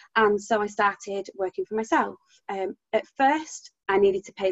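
The sound is dry and close, with no echo. A woman with an English accent speaks at a moderate pace and medium pitch. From UK. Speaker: business founder. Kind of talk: interview, conversational. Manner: passionate, expressive tone.

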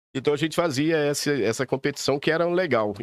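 Against a silent background on a very clean recording, a man with a fairly high pitch talks at a fairly quick pace, the sound dry and close with no echo. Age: 50s. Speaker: race promoter and businessman. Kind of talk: casual chat.

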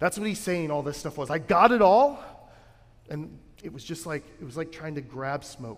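This man has an unremarkable speaking voice, a fairly high pitch and lively intonation. He talks at a moderate pace with big swings in loudness. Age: 30s. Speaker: pastor. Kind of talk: sermon. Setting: church. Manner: conversational, with filler words.

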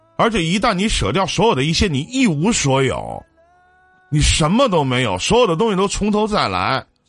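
Over music in the background, a man with a high pitch talks at a moderate pace, making very wide pitch swings. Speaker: radio call-in advice host. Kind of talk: live call-in advice show. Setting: live stream.

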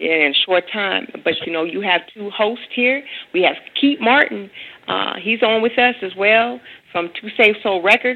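A woman speaks in an unremarkable speaking voice at medium pitch. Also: lively intonation, fairly slow pace. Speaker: radio host. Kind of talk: radio interview. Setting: phone call.

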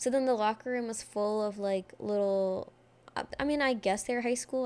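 This is an unremarkable speaking voice, with fairly even intonation and a moderate pace. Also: woman. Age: 20s. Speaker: podcast host. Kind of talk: casual solo monologue. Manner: casual, filler-heavy.

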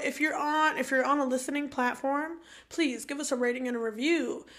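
Bright and sharp in tone, a woman's raised voice projects outward. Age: 20s. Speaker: podcast co-host. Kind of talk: casual chat.

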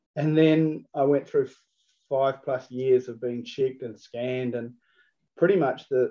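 A man with a New Zealand accent speaks at a medium pitch. His pace is fairly slow and his intonation fairly even. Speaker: food business owner. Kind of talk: interview. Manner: hesitant, many fillers and repeats.

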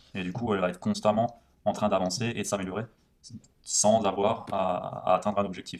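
Fairly quick speech comes from a man with a fairly low pitch. His intonation is flat and monotone. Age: 20s. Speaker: podcast co-host discussing non-fiction books. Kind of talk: casual chat.

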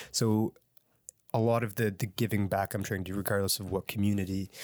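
Fairly quick, monotone speech with flat intonation from a man with a Nova Scotian accent, fairly low in pitch, on a very clean recording with a silent background. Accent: Canadian (Nova Scotia). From Halifax, Nova Scotia, Canada. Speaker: musician and educator. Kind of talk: interview.

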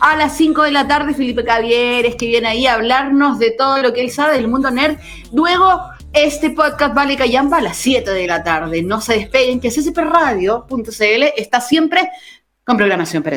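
With a high pitch, this woman sounds animated and uses lively intonation. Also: moderate pace. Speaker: radio host. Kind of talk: casual chat.

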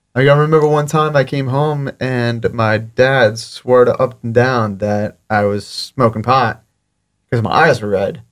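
A plain, everyday voice belongs to a man with an American accent and medium pitch. He speaks at a fairly slow pace with ordinary pitch variation. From South Florida (Fort Lauderdale). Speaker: videographer and social media creator. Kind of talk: casual interview. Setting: studio.

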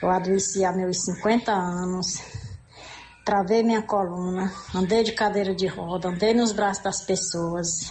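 A woman at a fairly slow pace, medium pitch, fairly even intonation and very even loudness, over noticeable background noise. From Piauí, Brazil. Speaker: radio caller. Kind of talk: phone-in question.

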